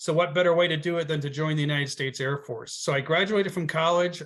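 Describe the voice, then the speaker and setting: Someone talks at a very fast pace with a slight Boston accent. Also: man. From Connecticut, US Northeast. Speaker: travel agency owner, Air Force veteran. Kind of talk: interview.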